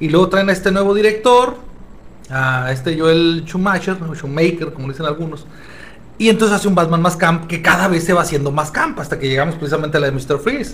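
A man with a high pitch talks at a fairly quick pace with ordinary pitch variation, amid audible room echo and noticeable background noise. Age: 40s. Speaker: psychologist, comics expert. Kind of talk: casual chat. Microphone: poor audio quality.

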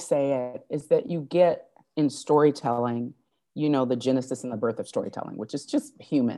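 With an American accent, a woman speaks at a moderate pace against a quiet background. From US Midwest (Fort Wayne, Indiana). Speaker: acting coach. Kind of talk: casual chat.

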